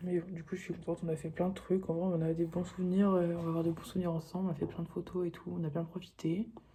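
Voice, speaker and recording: The pace of this woman's speech is fairly quick. Her voice sits fairly low. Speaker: vlogger. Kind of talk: casual vlog talk. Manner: halting.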